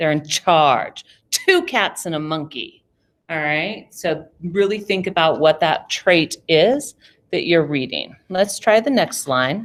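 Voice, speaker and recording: A woman speaks at a fairly slow pace in an unremarkable speaking voice, her pitch fairly low and her intonation lively. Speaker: drama teacher. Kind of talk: online class lesson.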